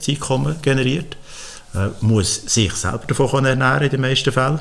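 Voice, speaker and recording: At a moderate pace, a man speaks in a normal speaking voice of medium pitch. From Switzerland, Frutigen (Bernese Oberland). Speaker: agronomist and entrepreneur. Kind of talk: interview.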